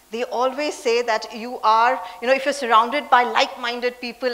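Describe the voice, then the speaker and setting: The speaker talks at a fairly quick pace with fairly even intonation, over noticeable background noise. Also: woman. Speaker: leadership speaker and CEO.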